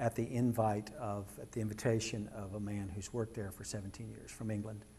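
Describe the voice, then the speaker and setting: In a room with audible echo, a somewhat breathy man with an American accent and fairly low pitch speaks at a moderate pace with monotone, flat intonation. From Kansas. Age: 60s. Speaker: artist. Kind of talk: public lecture. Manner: informal, with frequent hesitations.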